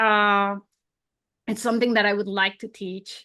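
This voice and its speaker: A woman talks at a moderate pace with a strong non-native accent and a bright, sharp tone. Her intonation is monotone and flat, and the background is quiet. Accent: non-native English, thick. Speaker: surface pattern designer and illustrator. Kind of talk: interview conversation.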